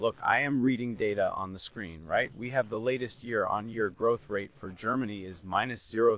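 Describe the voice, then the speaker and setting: A man at a moderate pace, dry in sound with no echo. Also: hardly any pauses. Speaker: guest. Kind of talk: interview answer. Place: office. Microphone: studio mic.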